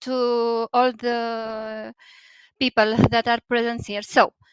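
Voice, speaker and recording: A woman with a Romanian accent speaks very slowly at a fairly high pitch, her intonation flat and monotone. The sound is dry and close, with no echo. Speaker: poet. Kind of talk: poetry reading event introduction. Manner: halting, many hesitations. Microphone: unstable internet connection.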